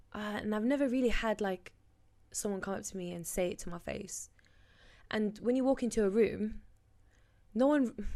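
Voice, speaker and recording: A woman speaks with a fairly high pitch, a dark, mellow tone and ordinary pitch variation. Her pace is moderate, with long, frequent pauses. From Birmingham, England. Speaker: sex educator. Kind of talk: casual chat.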